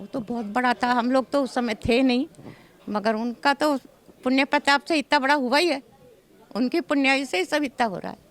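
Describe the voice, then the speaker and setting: The sound is dry and close, with no echo. A woman speaks at a high pitch with ordinary pitch variation. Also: moderate pace. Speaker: temple trustee family member. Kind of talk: interview.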